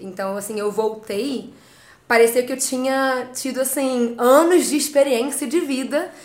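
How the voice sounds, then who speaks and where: A woman with a high pitch talks very slowly, with audible room echo around her. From Rio de Janeiro, Brazil. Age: 20s. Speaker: travel blogger. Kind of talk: interview. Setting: studio.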